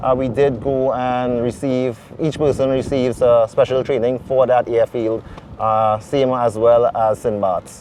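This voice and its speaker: A man at a fairly slow pace, medium-pitched, with fairly even intonation, against noticeable background noise. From Trinidad and Tobago. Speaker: airline pilot. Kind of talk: interview. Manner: halting, many fillers. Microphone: wind distortion in mics.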